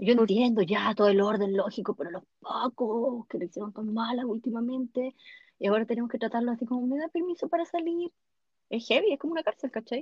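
With a Chilean accent, a woman speaks fairly quickly in a fairly high pitch and with lively intonation. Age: 40s. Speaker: podcast host. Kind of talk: casual chat.

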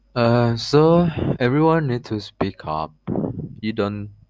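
A man speaks with a non-native accent at a very slow pace. His pitch swings very widely. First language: not English. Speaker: podcast host. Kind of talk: casual monologue. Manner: halting, many fillers.

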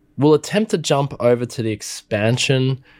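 The recording is very clean, with a silent background. The speaker has an Australian accent. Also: man. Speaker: music tech podcaster and YouTuber. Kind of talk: product review and demo. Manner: animated.

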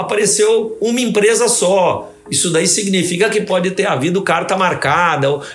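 A man with a high pitch speaks at very even loudness with hardly any pauses, over noticeable background noise. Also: ordinary pitch variation, moderate pace. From Brazil, Santos (São Paulo state). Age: 70s. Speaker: audit court president, former prosecutor. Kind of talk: interview. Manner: formal.

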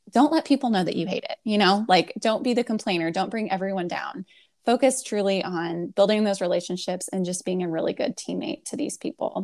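A woman speaks in an ordinary speaking voice at medium pitch, moving at a fairly quick pace with hardly any pauses and lively intonation. The recording is very clean with a silent background, and the sound is dry and close with no echo. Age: 20s. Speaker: career coach. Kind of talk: casual chat.

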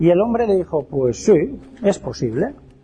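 A man's high voice with very wide pitch swings over music in the background. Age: 50s. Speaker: lecturer on alchemy. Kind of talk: lecture.

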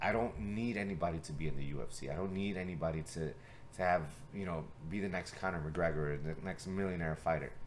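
The voice moves at a very fast pace with ordinary pitch variation and audible room echo. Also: man, very deep, low pitch for a man. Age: 30s. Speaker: martial arts coach and podcast host. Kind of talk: casual chat.

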